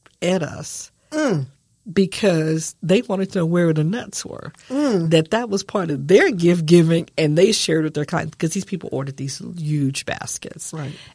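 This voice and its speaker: An American accent marks this woman's ordinary speaking voice, pitched fairly low. She keeps a moderate pace and ordinary pitch variation. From San Antonio, Texas. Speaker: small business owner. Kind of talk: interview. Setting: studio.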